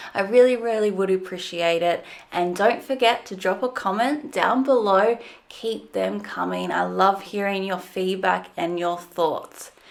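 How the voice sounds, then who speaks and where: The woman speaks at a fairly slow pace with an Australian accent. Her pitch is medium, with ordinary variation. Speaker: fitness commentary channel host. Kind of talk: video commentary.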